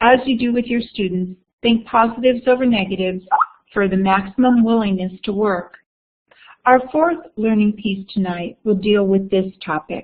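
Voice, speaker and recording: This is an unremarkable speaking voice. It has ordinary pitch variation. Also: woman, fairly high pitch for a woman, moderate pace. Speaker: education workshop presenter. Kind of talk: online webinar presentation.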